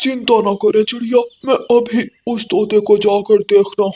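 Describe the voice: A cartoonish character voice at a fairly high pitch and a moderate pace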